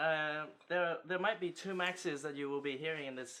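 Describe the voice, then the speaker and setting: The man's fairly high pitch carries a bright, sharp tone and ordinary pitch variation. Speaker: podcast co-host, concept artist. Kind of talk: casual chat.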